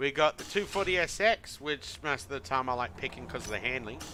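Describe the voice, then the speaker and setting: He speaks with an Australian accent. His pitch makes very wide swings. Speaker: video game streamer. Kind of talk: casual gameplay commentary.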